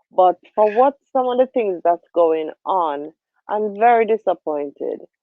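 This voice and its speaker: A woman with a Jamaican accent speaks at a fairly slow pace. Her medium pitch rises and falls with lively intonation. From Jamaica, Spanish Town. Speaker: livestream host. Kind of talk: casual political discussion.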